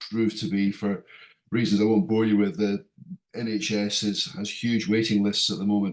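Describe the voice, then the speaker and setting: In a British accent, a man speaks at a fairly low pitch with monotone, flat intonation. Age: 60s. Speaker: airline pilot, patient. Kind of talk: patient testimonial. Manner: halting, many fillers.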